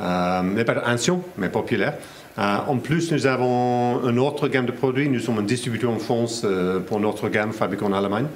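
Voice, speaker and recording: A man with an English accent speaks at a moderate pace, his pitch medium and its variation ordinary. His loudness stays very even, and the room echo is audible. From England. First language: English (speaking French). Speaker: company representative. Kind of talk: interview. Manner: halting, many hesitations.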